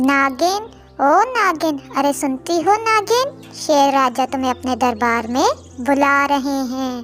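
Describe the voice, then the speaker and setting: In a cartoonish character voice, a female-sounding voice speaks at a high pitch and a very slow pace, with clear music playing in the background. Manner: pushy, impatient.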